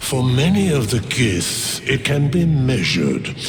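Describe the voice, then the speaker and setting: Put-on character voice from a man at a very slow pace, with clear background noise. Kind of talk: archaic formal speech. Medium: video game. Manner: slow, grave.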